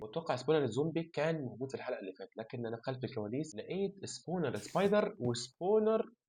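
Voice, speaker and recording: A man with an Egyptian accent, a dark, mellow tone, somewhat breathy, with very wide pitch swings at a moderate pace. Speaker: gaming YouTuber. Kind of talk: gameplay commentary. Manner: casual, chatty.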